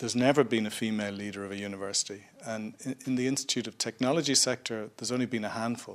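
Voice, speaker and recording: A man speaks at a very fast pace with hardly any pauses and fairly even intonation. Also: medium pitch for a man. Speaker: higher education academic, panelist. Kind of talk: live panel discussion. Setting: stage with live audience.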